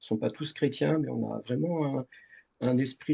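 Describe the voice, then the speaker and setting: Here a man talks at a moderate pace. His tone is dark and mellow, and the sound is dry and close with no echo. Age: 60s. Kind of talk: interview testimony. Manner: halting, many fillers.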